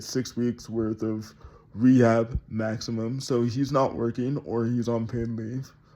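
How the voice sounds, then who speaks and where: In a medium pitch with a dark, mellow tone, a man speaks with monotone, flat intonation. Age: 20s. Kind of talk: casual vlog talk to camera. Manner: hesitant, many fillers.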